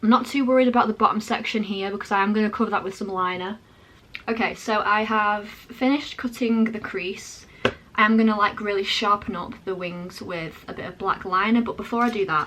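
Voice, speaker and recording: A woman with a fairly high pitch talks fairly quickly, her intonation fairly even, while noticeable background noise carries on. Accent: British. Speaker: makeup artist. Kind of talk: tutorial. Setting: home, changed location. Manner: fast.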